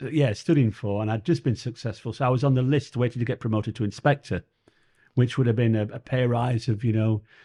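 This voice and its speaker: Spoken very fast in a Yorkshire accent, the voice is somewhat breathy and dark and mellow in tone, with fairly even intonation over a quiet background. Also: man, medium pitch for a man. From northern England, Sheffield. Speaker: comedian and former police officer. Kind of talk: interview. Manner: halting.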